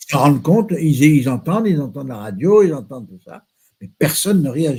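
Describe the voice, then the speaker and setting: At a moderate pace, a man talks in a fairly high, somewhat breathy voice with a dark, mellow tone, very wide pitch swings and big swings in loudness. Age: 80s+. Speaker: association co-founder, former shopkeeper. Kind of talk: interview.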